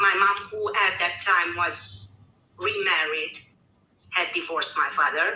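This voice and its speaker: Amid audible room echo, a woman with a Romanian accent speaks fairly slowly at a medium pitch, with fairly even intonation. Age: 40s. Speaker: caller. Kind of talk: personal testimony.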